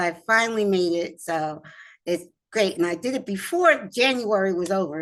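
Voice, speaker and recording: A woman speaks at a moderate pace and a medium pitch, with ordinary pitch variation. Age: 60s. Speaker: lifestyle YouTuber. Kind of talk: casual vlog tutorial. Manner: casual, halting with fillers.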